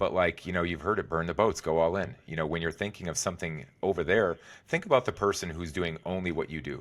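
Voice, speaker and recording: A man talks at a very fast pace in a very deep, low pitch. His pitch variation is ordinary. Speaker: executive and wellness coach, former trader. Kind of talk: podcast interview.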